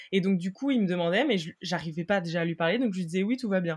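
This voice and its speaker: A woman's medium-pitched voice, with ordinary pitch variation, is heard in a very clean recording against a silent background. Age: 20s. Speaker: mother sharing separation experience. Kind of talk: testimony. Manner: hesitant, many fillers.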